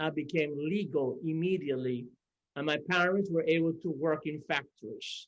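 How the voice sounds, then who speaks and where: Someone with a Cuban accent speaks at a fairly slow pace. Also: man. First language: Spanish. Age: 60s. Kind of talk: conference panel remarks.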